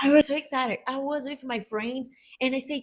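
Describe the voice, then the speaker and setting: In a Brazilian Portuguese accent, a woman speaks at a moderate pace. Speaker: podcast co-host. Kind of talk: casual chat.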